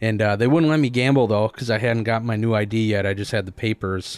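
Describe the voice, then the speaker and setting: This is a plain, everyday voice. A man talks at a fairly quick pace with fairly low pitch and fairly even intonation on a very clean recording with a silent background. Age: 20s. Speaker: sports podcast host. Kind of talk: casual chat.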